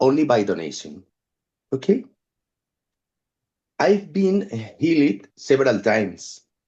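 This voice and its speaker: In a non-native accent, a man speaks at a very slow pace with a dark, mellow tone, vocal fry and very wide pitch swings. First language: not English. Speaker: photographic artist and musician. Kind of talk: reading prepared text in group discussion. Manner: halting.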